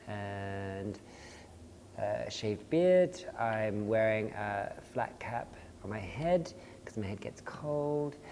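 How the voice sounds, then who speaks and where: With an Australian accent, a man speaks at a fairly low pitch and very slow pace amid audible room echo and noticeable background noise. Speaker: dance artist and choreographer. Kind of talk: casual panel conversation.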